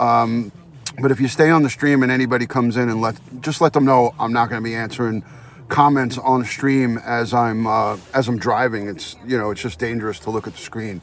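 A man talks at a fairly quick pace with fairly even intonation. The sound is dry with no echo, over light background noise. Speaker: live streamer. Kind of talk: casual live-stream chat. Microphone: phone near.

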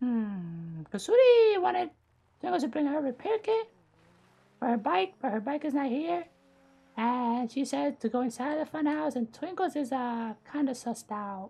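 A female-sounding voice is put on as a character. It is high-pitched and moves at a moderate pace. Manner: cheerful, third-person speech.

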